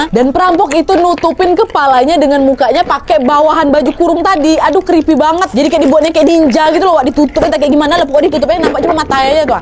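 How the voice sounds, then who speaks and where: Speaking very fast with hardly any pauses, a woman uses a high-pitched, animated tone over noticeable background noise. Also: ordinary pitch variation. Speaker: horror storyteller. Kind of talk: horror story narration to audience. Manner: chatty, animated, conversational.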